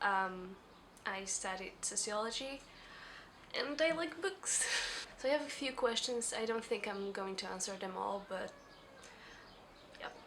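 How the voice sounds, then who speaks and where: A woman mumbling with lively intonation and a non-native accent, at a fairly slow pace with long, frequent pauses, over noticeable background noise. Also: fairly high pitch for a woman. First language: not English. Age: 20s. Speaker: book vlogger. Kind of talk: casual talk to camera. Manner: mumbling, hesitant.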